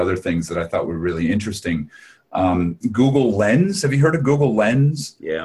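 A man talks at a moderate pace, his somewhat breathy voice carrying lively intonation. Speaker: podcast host. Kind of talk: podcast conversation.

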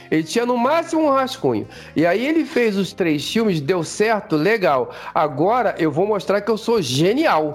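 With music in the background, a man speaks at a moderate pace in a high pitch, his pitch swinging very widely while his loudness stays very even. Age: 50s. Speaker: podcast co-host. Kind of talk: casual chat. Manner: halting.

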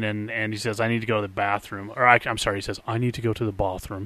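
In a plain, everyday voice, a man of medium pitch talks at a fairly quick pace over a quiet background. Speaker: podcast co-host.

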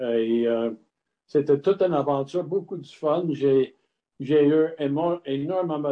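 Speaking with an English accent, a man has a fairly high pitch and a very slow pace. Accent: English-speaker's accent in French. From Montreal, Quebec (anglophone, Scottish family). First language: English (speaking French). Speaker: retired brewer turned distiller. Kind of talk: interview. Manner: halting.

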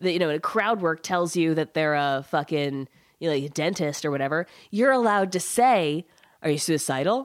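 In an American accent, a woman talks at a fairly quick pace with very wide pitch swings. The recording is very clean, with a silent background. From US South. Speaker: comedian. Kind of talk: casual chat.

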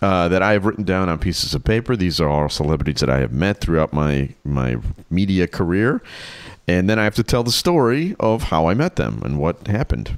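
With an American accent, a man speaks fairly quickly in a very deep, low voice, his pitch swinging very widely while his loudness stays very even. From Chicago. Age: 50s. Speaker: podcast co-host. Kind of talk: casual chat.

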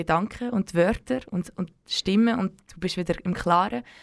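A woman's ordinary speaking voice at a moderate pace, with ordinary pitch variation, in a very clean recording with a silent background. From Switzerland, German-speaking, Serbian heritage. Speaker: community radio co-host. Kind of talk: late-night radio chat. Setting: dark radio studio.

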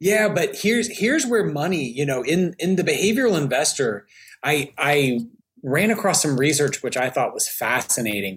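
A somewhat breathy man with an American accent, fairly high in pitch, at a moderate pace with very wide pitch swings, on a very clean recording with a silent background. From US South, Alabama. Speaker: behavioral finance expert. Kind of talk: casual interview.

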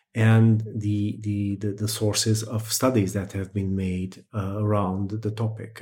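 A man in a Portuguese accent, fairly low in pitch, with a dark, mellow, somewhat breathy tone, monotone, flat intonation and a moderate pace. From Portugal, Setúbal. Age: 40s. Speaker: astrologer and researcher. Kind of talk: interview. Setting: video call.

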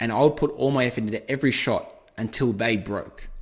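Recorded very cleanly against a silent background, a man with an Australian accent talks with ordinary pitch variation. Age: 20s. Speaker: forex trader. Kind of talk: podcast interview.

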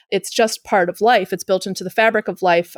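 Heard with a dry, close sound and no echo, this is a plain, everyday voice with fairly even intonation. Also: woman. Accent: American. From Chicago, US Midwest. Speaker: sociologist and author. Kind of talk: interview conversation.

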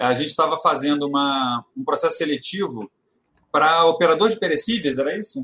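With a bright, sharp tone and lively intonation, a man speaks at a fairly quick pace and a fairly high pitch. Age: 40s. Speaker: retail consultant. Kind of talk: casual chat.

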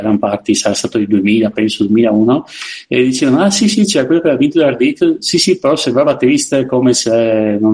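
An unremarkable speaking voice from a man, medium in pitch, at a fairly quick pace. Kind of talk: casual chat.

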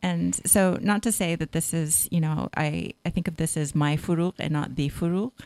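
With a West Coast accent, a woman speaks at a very deep, low pitch and a moderate pace, with ordinary pitch variation and hardly any pauses. Her loudness stays very even, and the sound is dry and close with no echo. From Northern California. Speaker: novelist and English professor. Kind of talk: interview.

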